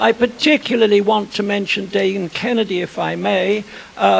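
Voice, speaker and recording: Noticeable background noise sits behind the recording. A man speaks at a moderate pace. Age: old. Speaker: historian. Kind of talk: lecture. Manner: formal.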